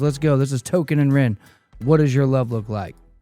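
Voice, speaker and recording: Music in the background beneath a man's very fast delivery. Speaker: music reaction youtuber. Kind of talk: casual video intro.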